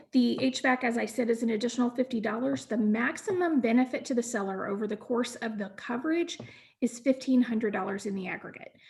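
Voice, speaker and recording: A woman's high voice with ordinary pitch variation, at a fairly quick pace. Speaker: home warranty company representative. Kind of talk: training presentation. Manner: fast.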